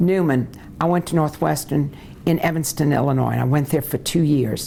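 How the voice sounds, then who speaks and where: A woman with a very deep, low pitch speaks with ordinary pitch variation over noticeable background noise. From US South, New Orleans, Louisiana. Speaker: lawyer. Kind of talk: oral history interview.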